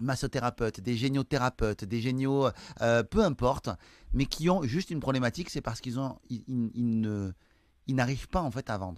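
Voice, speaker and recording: In a very clean recording with a silent background, a man speaks at a medium pitch and a moderate pace with ordinary pitch variation. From France, Toulouse countryside. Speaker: sales trainer and entrepreneur. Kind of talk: interview. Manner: hesitant, many fillers.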